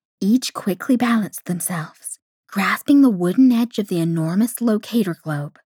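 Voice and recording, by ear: The background stays quiet. Over it, a voice reads aloud naturally.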